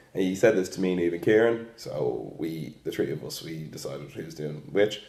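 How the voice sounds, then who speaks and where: A man's very deep, low voice in an Irish accent, lively in intonation, with big swings in loudness, a moderate pace and audible room echo. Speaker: student teacher. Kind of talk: reflective monologue.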